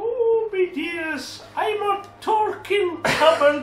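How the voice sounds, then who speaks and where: A squeaky put-on character voice at an extremely high pitch moves at a very slow pace over clear background noise. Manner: cartoonish, sweet.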